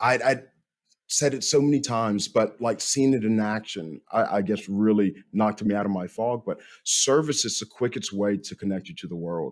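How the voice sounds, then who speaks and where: In a Tennessee accent, a man speaks at a moderate pace and a fairly low pitch with ordinary pitch variation. The recording is very clean, with a silent background. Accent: Southern US (Tennessee). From Tennessee, small town. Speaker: podcast host, military veteran. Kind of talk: podcast interview.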